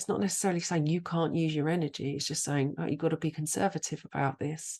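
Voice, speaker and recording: A woman with a British accent speaks at a very deep, low pitch. Her intonation is fairly even, over a quiet background. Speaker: astrologer, podcast host. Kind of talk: casual podcast talk.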